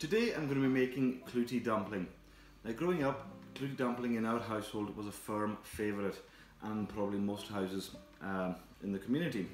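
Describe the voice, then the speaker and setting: At a fairly quick pace, a man speaks with ordinary pitch variation, with audible room echo and light background noise. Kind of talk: cooking tutorial. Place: kitchen.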